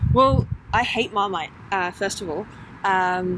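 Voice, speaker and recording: A woman at a medium pitch and a fairly slow pace, with fairly even intonation. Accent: East Midlands. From England, Lincolnshire (Boston). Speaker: women's football player. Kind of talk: interview. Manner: hesitant, lots of fillers.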